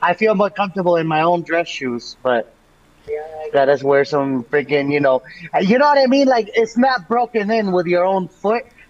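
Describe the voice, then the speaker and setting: A man speaks with an American accent at a moderate pace. His high voice has very wide pitch swings. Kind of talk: casual chat.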